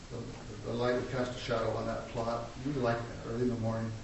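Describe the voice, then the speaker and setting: A man talks at a fairly quick pace, and there is audible room echo. Noticeable background noise runs underneath. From Wyoming. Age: 60s. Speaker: pastor. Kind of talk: sermon.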